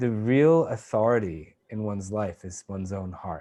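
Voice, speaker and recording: A man speaks very slowly in a New England accent. His tone is dark and mellow, and his intonation is lively. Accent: American (New England). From Maine, US Northeast. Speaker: meditation teacher. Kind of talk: interview answer. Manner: halting.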